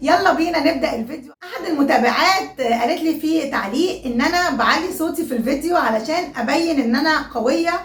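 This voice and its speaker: Loud and high-pitched, a woman speaks at a fairly quick pace with ordinary pitch variation, amid audible room echo and noticeable background noise. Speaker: YouTuber. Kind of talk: casual vlog talk.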